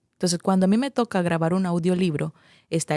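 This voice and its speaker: Recorded with a dry, close sound and no echo, a woman with a Nicaraguan accent speaks at a fairly low pitch with fairly even intonation. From Nicaragua, Masaya. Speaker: radio announcer and journalist. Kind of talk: interview answer.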